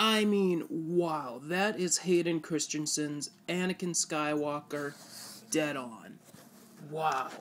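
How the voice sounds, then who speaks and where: Very slow speech from a woman with a very deep, low pitch and ordinary pitch variation. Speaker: YouTuber showing comic collection. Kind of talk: casual show-and-tell video. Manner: animated.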